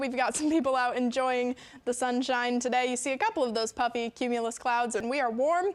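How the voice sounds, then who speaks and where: With a Midwestern US accent, a woman talks at a fairly quick pace in a high pitch with fairly even intonation. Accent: US Midwest. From Nebraska, Fremont. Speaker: TV meteorologist. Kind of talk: weather forecast.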